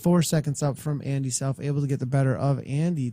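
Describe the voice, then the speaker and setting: A man talks at a fairly quick pace. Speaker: esports cycling race commentator. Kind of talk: live race commentary. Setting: live stream broadcast. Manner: fast; loud.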